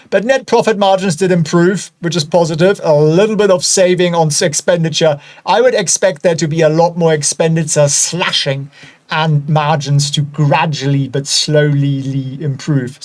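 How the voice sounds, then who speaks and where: A man talks at a moderate pace with a German accent and a fairly high pitch. His pitch varies in an ordinary way, and noticeable background noise is present. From Germany. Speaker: stock analysis video host. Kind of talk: casual, chatty.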